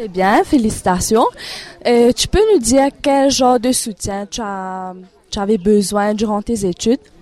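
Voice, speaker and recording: Fairly slow and fairly high-pitched, a woman speaks in a dark, mellow tone with ordinary pitch variation, the sound dry and close with no echo. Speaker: radio presenter of an education programme. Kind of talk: radio interview.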